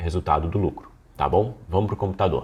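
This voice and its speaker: A man speaks in a dark, mellow tone. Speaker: business course instructor. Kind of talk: online lecture. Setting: screen recording. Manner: not fast.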